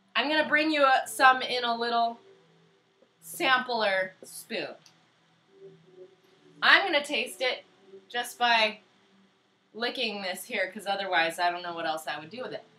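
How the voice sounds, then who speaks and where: A woman speaks in a playful tone with a fairly high pitch and very wide pitch swings. She leaves long, frequent pauses. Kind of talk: cooking demonstration to camera. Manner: slow, loud; playful, silly.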